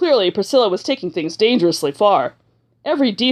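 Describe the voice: Against a quiet background, the intonation stays lively during plain reading aloud.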